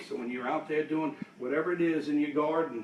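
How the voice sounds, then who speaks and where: A normal speaking voice from a man, fairly high in pitch, at a fairly quick pace. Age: 60s. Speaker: fitness instructor. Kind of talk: tutorial. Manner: counting reps aloud.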